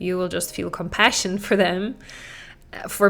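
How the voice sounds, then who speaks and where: A woman with a non-native accent, medium pitch and monotone, flat intonation, at a moderate pace. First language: not English. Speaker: parenting coach and podcast host. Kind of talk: podcast monologue. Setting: talking into a camera. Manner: conversational.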